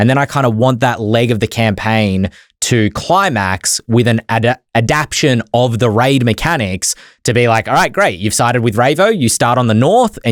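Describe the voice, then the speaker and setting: Over a very clean recording with a silent background and a dry, close sound with no echo, a man with an Australian accent speaks in an animated tone at a medium pitch and moderate pace, with ordinary pitch variation and very even loudness. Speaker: podcast co-host. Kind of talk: casual chat.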